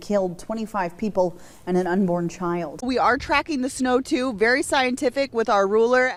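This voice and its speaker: In a normal speaking voice, a woman talks at a moderate pace, her pitch varying in an ordinary way. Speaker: TV news reporter and anchor. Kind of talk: broadcast news reporting. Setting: on-location live shot and anchor desk.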